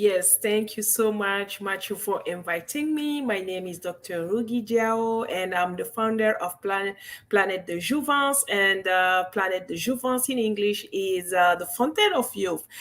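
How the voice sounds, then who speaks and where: A fairly slow, nearly pause-free delivery in a French accent, ordinary pitch variation, on a very clean recording with a silent background. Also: woman, medium pitch for a woman. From Guinea, West Africa. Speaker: medical doctor and wellness entrepreneur. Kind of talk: interview. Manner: halting.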